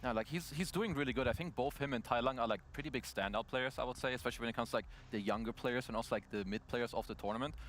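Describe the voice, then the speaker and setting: Speaking at a very fast pace with hardly any pauses, a man uses a medium pitch and ordinary pitch variation. He has a non-native accent. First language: not English. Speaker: esports panel analyst. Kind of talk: panel analysis discussion.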